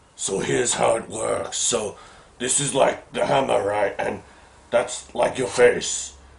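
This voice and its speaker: In a put-on character voice, a man speaks raspily at a fairly slow pace. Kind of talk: comic parody of horror villain. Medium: comedy sketch. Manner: clumsy, rambling.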